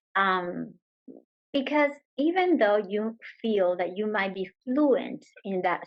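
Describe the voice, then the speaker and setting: A woman speaks with a Spanish accent at a very slow pace. Her intonation is lively. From Venezuela. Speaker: yoga teacher. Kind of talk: interview answer.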